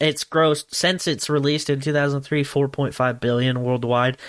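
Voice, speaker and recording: On a very clean recording with a silent background, a man talks at a fairly quick pace in a normal speaking voice with fairly even intonation. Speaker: podcast host. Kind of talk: casual banter podcast. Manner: joking, self-deprecating.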